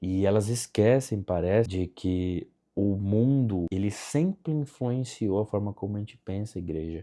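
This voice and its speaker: Lively intonation runs through this man's dark, mellow tone as he speaks at a moderate pace. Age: 20s. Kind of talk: casual talk to camera.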